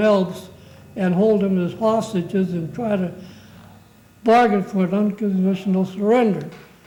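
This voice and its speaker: A man with a high pitch and a dark, mellow tone, monotone and flat, at a moderate pace. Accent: American. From Hubbard, Ohio, USA. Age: 80s+. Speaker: war veteran. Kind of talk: interview answer.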